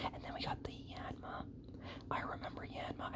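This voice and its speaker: Noticeable background noise accompanies a man's whispering. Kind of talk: ASMR whispered talk while opening trading cards, rambling personal stories.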